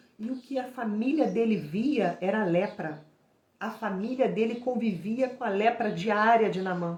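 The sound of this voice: A woman's hoarse, put-on character voice, fairly high-pitched, with ordinary pitch variation and a moderate pace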